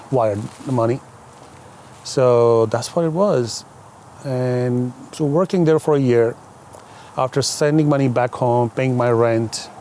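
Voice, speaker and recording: Amid noticeable background noise, a man talks at a fairly slow pace with long, frequent pauses, ordinary pitch variation and very even loudness. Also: medium pitch for a man. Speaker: limousine company owner. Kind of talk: podcast interview. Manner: talkative.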